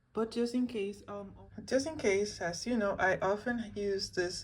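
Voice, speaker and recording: Soft-spoken and at a fairly slow pace, a woman talks at a medium pitch with ordinary pitch variation. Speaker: hair and travel vlogger. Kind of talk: tutorial. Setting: hotel room.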